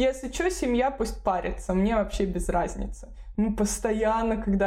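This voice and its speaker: Noticeable background noise and audible room echo fill this recording. A woman talks at a fairly slow pace with a fairly high pitch. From Moscow region, Russia. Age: 30s. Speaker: relocation consultant and blogger. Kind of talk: casual interview.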